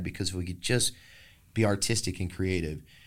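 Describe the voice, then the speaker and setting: In a Texan accent, a man speaks with fairly low pitch and fairly even intonation. The recording is very clean, with a silent background. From Texas. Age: 40s. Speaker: singer-songwriter. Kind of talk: casual interview about recovery.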